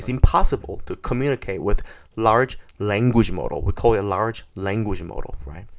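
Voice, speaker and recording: A man speaks with a Korean accent and lively intonation. Vocal fry runs through his voice. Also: very clean recording, silent background. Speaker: software developer. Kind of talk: tutorial. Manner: halting.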